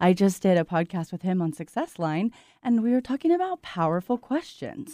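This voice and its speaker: Heard in a dry, close sound with no echo, a woman with a plain, everyday voice talks at a moderate pace and medium pitch with lively intonation. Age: 30s. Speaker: real estate team leader and coach. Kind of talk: casual chat. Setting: video call.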